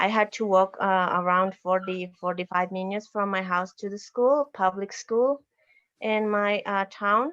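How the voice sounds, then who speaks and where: A woman with a Bolivian accent talks at a fairly slow pace with fairly even intonation. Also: medium pitch for a woman. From Bolivian Altiplano near Lake Titicaca. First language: Aymara. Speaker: university professor and educator. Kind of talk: slide presentation. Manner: halting.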